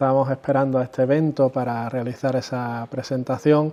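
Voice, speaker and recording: A man with an Andalusian accent, fairly high pitch, dark, mellow tone, monotone, flat intonation and moderate pace. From Andalusia, Spain. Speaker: consumer association president. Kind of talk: interview. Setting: chamber of commerce office. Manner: hesitant, repeats words.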